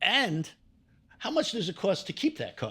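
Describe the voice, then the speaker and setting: On a very clean recording with a silent background, a man with a New York accent speaks in a bright, sharp tone with very wide pitch swings. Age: 60s. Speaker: real estate investor. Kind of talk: podcast interview.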